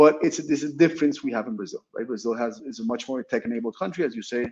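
A man talks at a very fast pace with a Spanish accent. His pitch varies in an ordinary way. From Colombia, Bogota; Colombia. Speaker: startup founder and CEO; guest. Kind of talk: interview. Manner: halting, with many repeated words. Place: office. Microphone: video call.

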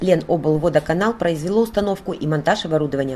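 This woman's voice is fairly low in pitch. Its tone is dark and mellow. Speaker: local TV reporter. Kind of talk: news narration.

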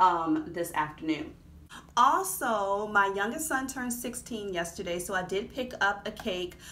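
Her intonation is lively. The woman speaks at a fairly slow pace. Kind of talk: casual vlog chat. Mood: cheerful, enthusiastic. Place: home room. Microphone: phone near.

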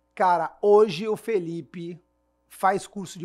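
This man speaks with a high pitch. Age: 40s. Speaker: business management consultant and podcast host. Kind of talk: casual business podcast chat.

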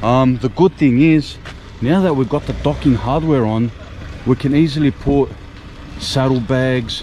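A man's voice, recorded dry with no echo, moves at a moderate speed with ordinary pitch variation as light noise sits behind it. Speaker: motorcycle vlogger. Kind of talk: casual vlog chat. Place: street. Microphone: phone near.

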